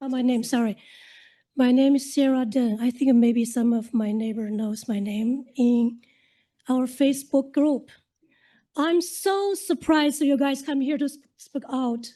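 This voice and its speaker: A high-pitched woman with a dark, mellow tone and ordinary pitch variation at a fairly slow pace, over a quiet background. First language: not English. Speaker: local resident speaking at council. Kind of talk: public comment at council meeting. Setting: city council meeting.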